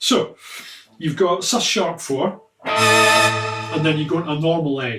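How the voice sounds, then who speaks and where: A fairly high-pitched man in a Scottish accent, with lively intonation. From Scotland. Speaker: guitarist and guitar teacher. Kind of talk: tutorial. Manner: casual.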